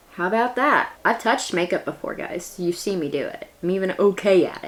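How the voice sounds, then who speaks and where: A woman with a West Virginia accent at a fairly quick pace and medium pitch, over noticeable background noise. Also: lively intonation. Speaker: beauty and history YouTuber. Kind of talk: casual vlog narration. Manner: chatty.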